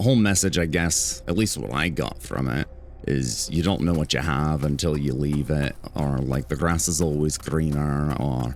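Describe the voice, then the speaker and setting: A man's lively intonation at a moderate pace, with music in the background. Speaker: gaming YouTuber. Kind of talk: casual gameplay commentary. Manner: casual, conversational. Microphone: compressor cuts out quiet speech.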